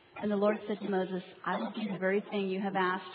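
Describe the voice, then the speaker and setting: A woman at a medium pitch speaks very fast over noticeable background noise. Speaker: congregation member. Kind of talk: scripture reading.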